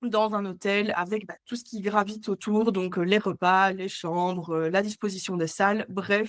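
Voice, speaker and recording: A woman's flat, monotone voice at medium pitch and fairly slow pace on a very clean recording with a silent background. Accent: Belgian. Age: 20s. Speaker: entrepreneur, agency co-founder and hotel sales rep. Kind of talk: podcast interview. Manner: hesitant, many filler sounds.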